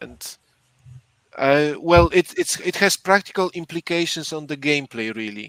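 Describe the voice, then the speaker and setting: A man with a non-native accent talks at a moderate pace in a fairly high pitch, his intonation lively and the sound dry and close with no echo. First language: not English. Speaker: board game podcast co-host. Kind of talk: casual chat explaining game rules. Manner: halting, repeats words.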